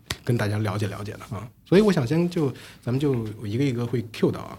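A man speaks at a fairly quick pace, somewhat breathy, with a dark, mellow tone and medium pitch. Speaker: podcast host. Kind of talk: casual chat. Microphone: new recording equipment.

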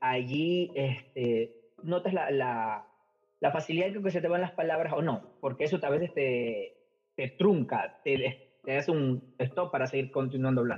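A man with a plain, everyday voice, fairly high in pitch, at a fairly slow pace. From Ecuador. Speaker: English teacher. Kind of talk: interview.

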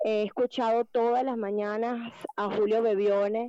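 This woman has a fairly high pitch. Her tone is dark and mellow. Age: 40s. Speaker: motivational coach and therapist. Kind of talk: casual chat.

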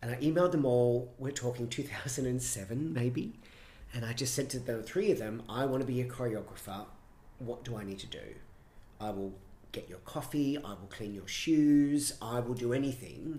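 A man at a moderate pace, with a dark, mellow tone, a somewhat breathy quality and an Australian accent. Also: medium pitch for a man, ordinary pitch variation, big swings in loudness. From Brisbane, Australia. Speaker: choreographer and director. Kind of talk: casual interview chat.

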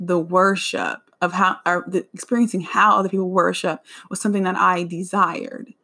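Speaking with an American accent at a moderate pace, a woman uses an animated, bright, sharp tone at a medium pitch on a very clean recording with a silent background. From United States. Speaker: podcast host. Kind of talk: casual solo podcast monologue.

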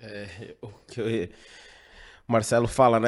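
A man speaks at a moderate pace in a normal speaking voice, his pitch medium. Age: 30s. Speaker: radio sports commentator. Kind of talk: panel discussion.

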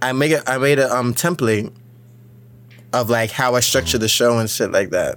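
A man speaks at a moderate pace with a medium pitch and ordinary pitch variation. His loudness stays very even, broken by long, frequent pauses. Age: 20s. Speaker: podcast host. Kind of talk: casual chat. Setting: studio. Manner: animated.

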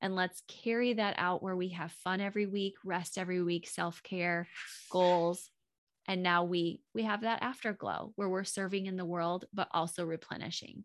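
A normal speaking voice from a woman, medium in pitch, with fairly even intonation at a moderate pace, on a very clean recording with a silent background. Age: 40s. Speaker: marriage coach and podcaster. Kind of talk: casual interview chat.

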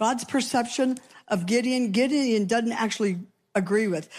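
In a very clean recording with a silent background, a woman uses a normal speaking voice at a fairly high pitch, a moderate pace and ordinary pitch variation. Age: 60s. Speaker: pastor. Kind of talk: sermon.

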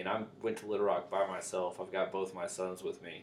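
A man speaks in a plain, everyday voice. His pace is fairly quick, with ordinary pitch variation. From US South. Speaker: podcast host. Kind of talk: casual chat.

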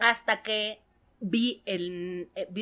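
The woman's voice has a bright, sharp tone. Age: 40s. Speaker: stand-up comedian. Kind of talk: casual chat. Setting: studio.

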